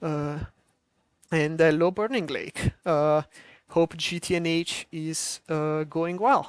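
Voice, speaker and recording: Over a quiet background, a woman speaks very slowly at a fairly low pitch with ordinary pitch variation, in a dry, close sound with no echo. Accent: strong Italian. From Italy. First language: Italian. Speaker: modpack developer streaming a game preview. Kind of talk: live stream commentary. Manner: halting, many filler words.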